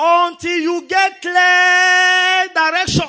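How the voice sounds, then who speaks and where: Bright and sharp in tone, a man speaks at an extremely high pitch in a raised, projected voice. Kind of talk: fervent preacher-led prayer, call-and-response with congregation. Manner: rousing, emphatic, commanding, repeating phrases for the crowd to echo; pastoral, urgent and rhythmic, inviting people to pray along.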